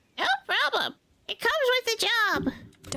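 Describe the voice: A squeaky, put-on character voice, extremely high in pitch, at a fairly slow pace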